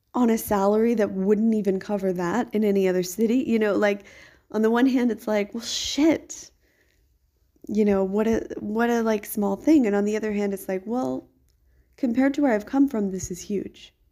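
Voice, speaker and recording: Speaking at a moderate pace, a woman uses a fairly high pitch with ordinary pitch variation and an ordinary speaking voice. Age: 30s. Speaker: podcaster, kindergarten worker. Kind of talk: audio diary monologue. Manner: casual, filler-heavy.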